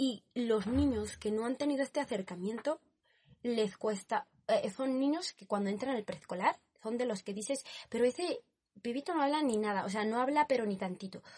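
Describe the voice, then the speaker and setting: Her voice is high-pitched with lively intonation as a woman talks at a moderate pace, recorded in a dry, close sound with no echo. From Spain, Barcelona. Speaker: student. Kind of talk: casual chat.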